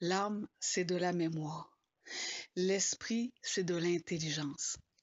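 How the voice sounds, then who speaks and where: Very slowly, a woman talks in a fairly low pitch. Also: ordinary pitch variation. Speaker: spiritual blogger. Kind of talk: informal spoken talk. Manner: hesitant, many fillers.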